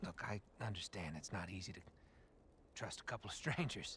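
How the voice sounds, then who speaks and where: With a bright, sharp tone and very wide pitch swings, a man speaks over light background noise in a dry recording with no echo. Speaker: video game character. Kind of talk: game character dialogue.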